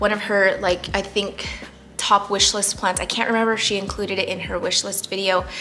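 A woman's medium-pitched, monotone, flat intonation at a fairly quick pace, with music in the background. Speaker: plant YouTuber. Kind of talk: casual talk to camera. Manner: somewhat monotonous. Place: home room.

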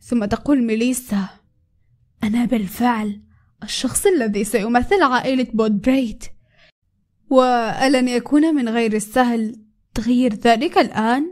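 A woman speaks at a very slow pace in a high pitch. Her pitch variation is ordinary. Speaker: story narrator, video creator. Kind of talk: reading aloud a story recap. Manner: animated; loud.

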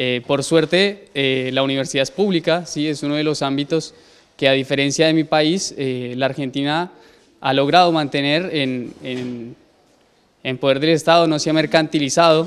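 A man with a Colombian accent, fairly high in pitch, at a moderate pace with fairly even intonation. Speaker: university student and cook. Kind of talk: interview. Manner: hesitant, many fillers. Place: classroom. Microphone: handheld.

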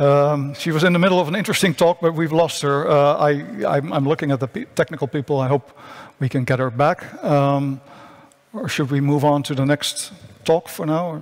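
Against a quiet background, a man with a Dutch accent speaks at a moderate pace and a fairly high pitch, with ordinary pitch variation. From Netherlands. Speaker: science journalist, panel moderator. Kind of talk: panel moderation. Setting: conference stage with remote speakers. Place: stage. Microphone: headset.

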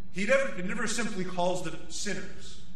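A man talks at a moderate pace in a raised, projected voice with ordinary pitch variation. Audible room echo and light background noise are present. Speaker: priest. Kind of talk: sermon. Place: church. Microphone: podium.

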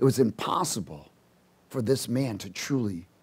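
Lively intonation from a man. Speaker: preacher. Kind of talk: sermon. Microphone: headset.

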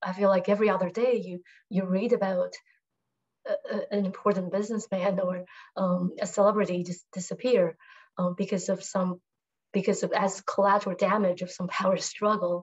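Against a quiet background, the speaker goes at a fairly quick pace with monotone, flat intonation. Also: woman. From Taiwan, Taipei; Taiwan. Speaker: writer. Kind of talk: panel discussion answer. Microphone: video call.

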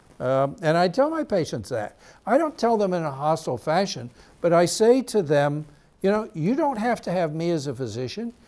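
At a moderate pace, a man talks in a high pitch with very wide pitch swings. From United States. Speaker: physician and TV host; physician TV host. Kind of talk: health talk monologue; talk show monologue. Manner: hesitant with many fillers. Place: studio.

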